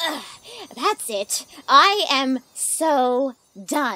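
High pitch in a put-on character voice. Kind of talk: comedy dub. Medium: dub.

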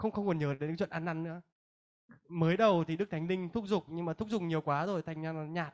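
Against a quiet background, a man speaks at a high pitch with fairly even intonation. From northern Vietnam, Hanoi; Vietnam. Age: 20s. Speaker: Bible school student. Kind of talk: testimony. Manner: halting. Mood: earnest, reflective. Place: hall. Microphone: handheld.

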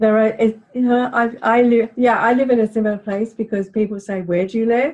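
The speaker has an English accent and talks at a moderate pace. The intonation is monotone and flat. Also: woman. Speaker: podcast host. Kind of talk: casual interview.

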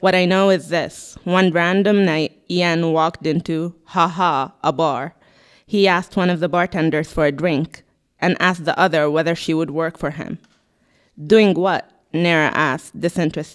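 A woman with a plain, everyday voice, fairly low pitch, fairly even intonation and moderate pace, against a quiet background. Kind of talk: literary reading. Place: shop. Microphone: handheld.

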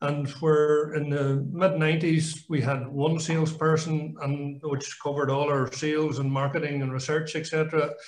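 With a Donegal Irish accent, a man talks in a fairly high, somewhat breathy voice and a monotone, flat intonation, and room echo can be heard. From Ireland. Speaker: company chairman; guest. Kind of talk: panel discussion; interview answer. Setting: video call. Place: home room. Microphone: video call.

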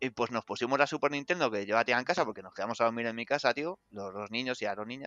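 Words pour out at a very fast pace, with hardly any pauses. The man's pitch is medium, with ordinary variation. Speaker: video game journalist. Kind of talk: casual chat. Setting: online call on Discord.

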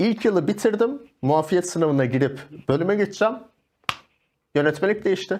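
A man speaks in a high voice whose pitch swings very widely. His loudness stays very even, broken by long, frequent pauses. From Turkey, Malatya; Turkey. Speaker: yoga instructor and life coach; yoga instructor, life coach. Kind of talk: casual interview chat. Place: studio.

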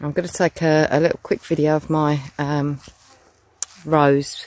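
Someone with a British accent speaks at a moderate pace. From UK. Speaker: vlogger. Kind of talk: casual vlog narration. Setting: outdoors. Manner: loud.

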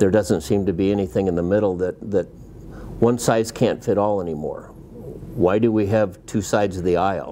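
Fairly low in pitch, a man talks at a moderate pace with ordinary pitch variation. There is light background noise. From Iowa, USA. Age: 60s. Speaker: farmer and livestock producer. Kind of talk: interview answer. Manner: hesitant, with fillers. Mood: calm, mildly frustrated. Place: home room.

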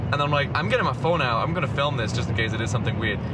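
The dry recording has no echo, but loud background noise sits under the man's voice. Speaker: vlogger passenger. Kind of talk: casual vlog chat, storytelling. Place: car. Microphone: camera far.

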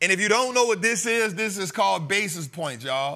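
A man's raised, projected voice with a bright, sharp tone against a quiet background. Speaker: stock market educator. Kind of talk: lecture. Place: studio. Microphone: lapel.

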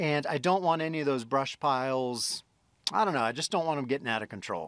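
A man talks at a fairly quick pace with ordinary pitch variation, his voice dry with no echo over a quiet background. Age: 50s. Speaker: solo homesteader vlogger. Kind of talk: casual vlog narration. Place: open country. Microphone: phone near.

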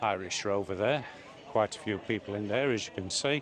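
A man speaks at a moderate pace. The sound is dry with no echo, and crowd noise carries in the background. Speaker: travel vlogger. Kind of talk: casual vlog commentary. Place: street. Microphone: phone near.

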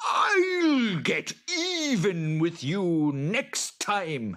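A man's put-on character voice, high-pitched and fairly bright, with big pitch swings at a very slow pace

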